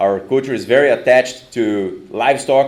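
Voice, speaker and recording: A man with a Brazilian Portuguese accent talks at a moderate pace and a medium pitch. Audible room echo surrounds his voice. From southern Brazil, Rio Grande do Sul. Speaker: professor. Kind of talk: conference talk. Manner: halting.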